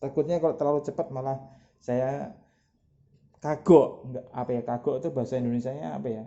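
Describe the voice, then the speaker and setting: Soft-spoken, a man talks at a fairly quick pace in a medium pitch with ordinary pitch variation. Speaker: product seller demonstrating cleaning product. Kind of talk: product demonstration tutorial.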